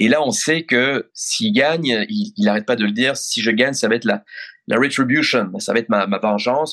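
The pace is moderate. Intonation is lively throughout. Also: man. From Belgium (Brussels). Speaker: foreign correspondent journalist. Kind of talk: interview. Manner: halting, repeats words.

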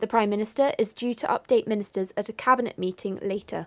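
Speaking fairly quickly with a British accent, a woman uses a fairly high pitch and fairly even intonation in a dry, close recording with no echo and a silent background. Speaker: radio newsreader. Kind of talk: radio news bulletin read from a script. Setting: radio studio broadcast. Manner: crisp, formal, steady and neutral; brisk, measured, businesslike pace.

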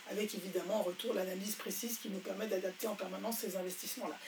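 A woman's fairly even intonation against noticeable background noise. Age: 60s. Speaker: entrepreneur. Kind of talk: interview. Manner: hesitant.

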